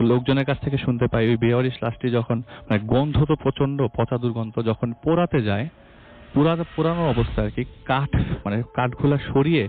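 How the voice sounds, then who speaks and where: Music plays in the background as a man speaks at a medium pitch. His loudness is very even and his pitch variation ordinary. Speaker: radio guest and storyteller. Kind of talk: ghost story telling on radio.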